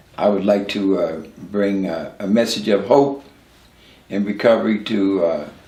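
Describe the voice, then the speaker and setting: A man talks at a very slow pace with an American accent. Audible room echo surrounds his voice. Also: long, frequent pauses. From Newark, New Jersey. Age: 70s. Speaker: recovering addict sharing his story. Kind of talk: interview testimony. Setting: at his home, filmed. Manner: halting, many fillers and repeats.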